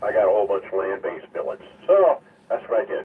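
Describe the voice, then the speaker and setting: A man talks at a moderate speed while background noise is clearly noticeable. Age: 70s. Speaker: ham radio net control operator. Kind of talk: ham radio net. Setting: radio transmission from home basement.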